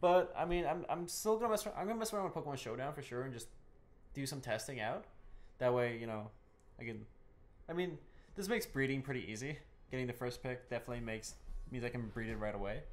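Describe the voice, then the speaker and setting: Over audible room echo, a man at a medium pitch talks at a very fast pace, with very wide pitch swings and long, frequent pauses. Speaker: podcast co-host and gaming YouTuber. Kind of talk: casual podcast chat. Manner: halting, many repeated words.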